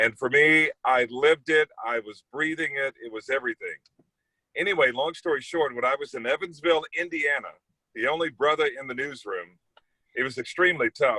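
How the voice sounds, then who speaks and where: A man with an ordinary speaking voice, pitched fairly high, with ordinary pitch variation. The sound is dry and close, with no echo. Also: fairly quick pace. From US Midwest, East St. Louis, Illinois. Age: 40s. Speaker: TV news anchor. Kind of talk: casual talk to students about his career. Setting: video call.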